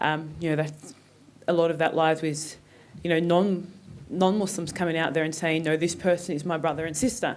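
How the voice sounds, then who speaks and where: Speaking with an Australian accent, a woman has a fairly low pitch. Her pace is fairly quick and her intonation fairly even. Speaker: conference panelist. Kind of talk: panel talk. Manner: hesitant, many fillers.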